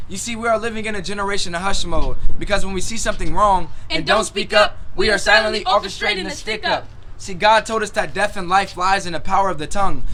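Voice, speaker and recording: A man speaks very fast in a raised, projected voice with high pitch. His pitch varies in an ordinary way, over noticeable background noise. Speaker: spoken word poet. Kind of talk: spoken word poetry performance, often in call-and-response with a partner.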